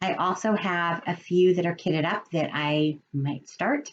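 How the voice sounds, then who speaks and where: A woman speaks in a fairly low voice. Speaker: cross-stitch video blogger. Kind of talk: casual show-and-tell vlog. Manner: animated.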